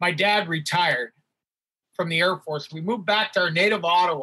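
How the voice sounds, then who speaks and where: The voice is raised and projected, with a bright, sharp tone and a Canadian accent. Pitch varies in an ordinary way, and the sound is dry and close with no echo. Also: man. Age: 60s. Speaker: hockey athletic trainer and stand-up comedian. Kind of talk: casual interview with storytelling.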